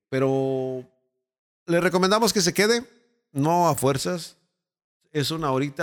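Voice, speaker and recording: A man with a Mexican accent in a very clean recording with a silent background. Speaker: radio announcer and producer. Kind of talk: casual chat.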